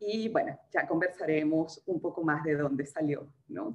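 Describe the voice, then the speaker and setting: A woman speaks at a fairly slow pace. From Venezuela. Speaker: writer. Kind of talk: casual chat.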